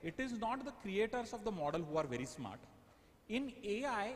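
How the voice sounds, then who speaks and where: A man at a moderate pace, with very wide pitch swings and audible room echo. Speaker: AI workshop speaker. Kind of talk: lecture.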